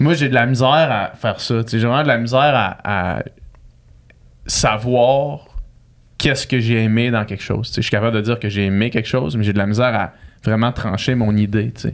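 A man with a Quebec accent speaks at a moderate pace with ordinary pitch variation. He takes long, frequent pauses. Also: medium pitch for a man. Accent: Québécois French. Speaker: podcast host. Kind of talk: casual chat.

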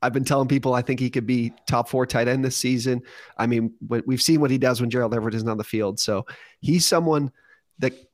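In an ordinary speaking voice, a man talks at medium pitch on a very clean recording with a silent background. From Ontario, Canada (near Toronto). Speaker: fantasy sports company representative. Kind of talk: casual chat.

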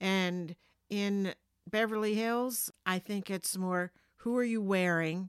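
A woman's medium-pitched voice with an American accent, very slow and fairly even in intonation, in a dry, close sound with no echo. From New Jersey. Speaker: podcast host's mother. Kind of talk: casual chat. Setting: home basement.

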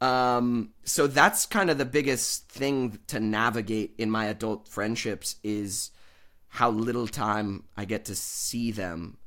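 A man's medium-pitched voice with an American accent, bright and sharp in tone, with ordinary pitch variation at a very slow pace, on a very clean recording with a silent background. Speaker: actor and podcaster. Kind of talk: casual interview chat.

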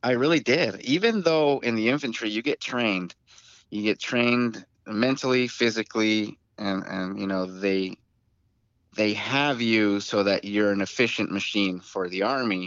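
In a plain, everyday voice, a man with an American accent speaks at a moderate pace and a fairly low pitch, with ordinary pitch variation. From Tucson, Arizona. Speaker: co-host, combat veteran. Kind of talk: casual chat.

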